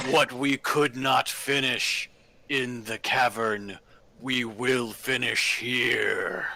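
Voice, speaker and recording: In a booming, put-on character voice of medium pitch, a man speaks at a very slow pace. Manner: menacing.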